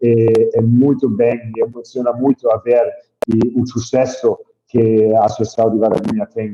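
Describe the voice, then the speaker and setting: A man with a non-native accent speaks at a fairly slow pace and a medium pitch. His tone is dark and mellow, his intonation fairly even. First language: not Portuguese (speaking Portuguese). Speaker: hydroponic farm entrepreneur. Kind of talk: webinar presentation. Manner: halting.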